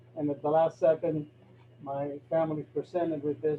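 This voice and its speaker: A man at a fairly high pitch, with noticeable background noise. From Cuba, raised in Florida. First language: Spanish. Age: 60s. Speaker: neurosurgeon. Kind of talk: talk to a club meeting.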